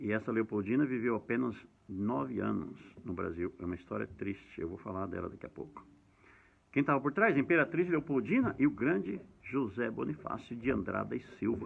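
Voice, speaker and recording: Here a man talks at a fairly quick pace and medium pitch. His pitch swings very widely. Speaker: history educator. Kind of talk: lecture. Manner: fast.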